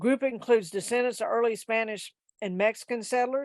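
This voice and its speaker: A woman speaks in a fairly high pitch with fairly even intonation, on a very clean recording against a silent background. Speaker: genealogy society presenter. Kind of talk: presentation. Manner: fast.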